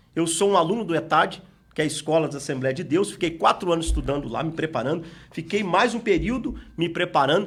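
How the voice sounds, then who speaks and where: A man with a high pitch, an Espírito Santo accent, a fairly quick pace and ordinary pitch variation. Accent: Espírito Santo accent, sounds like arguing. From Espírito Santo, Brazil. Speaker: pastor and Bible school teacher. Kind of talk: Bible lesson.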